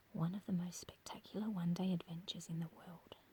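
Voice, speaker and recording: The speaker has an Australian accent. The voice is soft-spoken. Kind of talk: ASMR brochure reading. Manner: quiet, soft-spoken.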